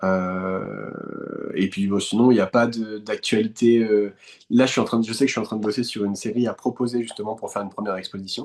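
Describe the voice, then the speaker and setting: This man talks fairly quickly in a fairly low pitch with a flat, monotone delivery. The background is quiet. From France, west of Paris (Eure-et-Loir, countryside). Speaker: painter. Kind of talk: interview conversation. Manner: hesitant, many fillers and repetitions.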